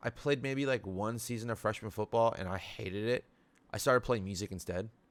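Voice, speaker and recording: An animated man with an American accent talks very fast at a medium pitch, his intonation lively. The recording is very clean with a silent background. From Middle East, raised in the US. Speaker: podcaster. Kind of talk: casual solo podcast monologue. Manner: animated, slangy.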